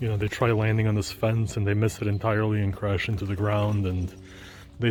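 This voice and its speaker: Whispering quietly, a man speaks in a somewhat breathy way at a fairly quick pace. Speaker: pigeon keeper, video blogger. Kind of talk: casual vlog. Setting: outdoors.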